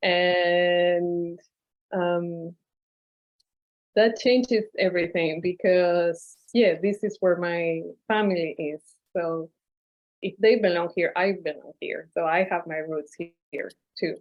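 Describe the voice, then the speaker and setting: A woman with a Spanish accent speaks at a very slow pace and fairly low pitch, with fairly even intonation and long, frequent pauses. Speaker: novelist. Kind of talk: panel discussion. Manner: hesitant, many fillers.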